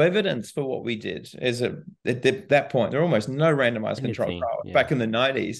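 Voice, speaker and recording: A man with a New Zealand accent, vocal fry and lively intonation. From New Zealand, small town. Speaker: physiotherapy professor and clinician. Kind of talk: interview.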